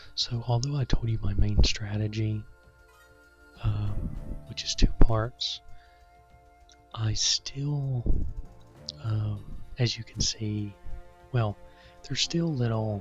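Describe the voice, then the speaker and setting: Whispering over music in the background, a man speaks at a very slow pace, with big swings in loudness and long, frequent pauses. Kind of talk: casual gameplay commentary. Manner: whispered; hesitant, many fillers.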